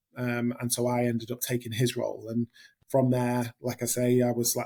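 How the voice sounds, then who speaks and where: The voice has a dark, mellow tone with a northern English accent. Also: man. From northern England. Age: 30s. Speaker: hospitality general manager. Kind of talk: interview. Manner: hesitant, many fillers.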